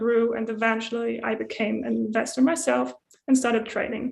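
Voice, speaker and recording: In a German accent, the speaker keeps a moderate pace with monotone, flat intonation. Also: woman. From Germany. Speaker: community translator. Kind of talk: prepared talk.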